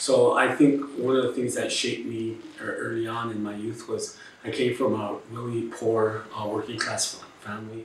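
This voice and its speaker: There is noticeable background noise and audible room echo. A man speaks at a medium pitch with monotone, flat intonation. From Los Angeles, US (South Central and East LA), Chicano. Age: 60s. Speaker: labor organizer and activist. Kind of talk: interview testimony.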